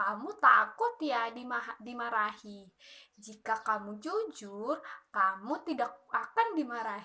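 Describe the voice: Delivered at a slow pace, this put-on character voice has lively intonation and a bright, sharp tone. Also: woman, fairly high pitch for a woman.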